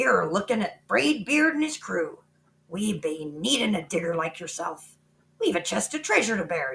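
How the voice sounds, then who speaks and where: Bellowing and raspy, a female-sounding put-on character voice at middle pitch swings very widely in pitch at a moderate pace. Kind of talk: comic pirate talk. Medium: read story. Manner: bellowing, blustery.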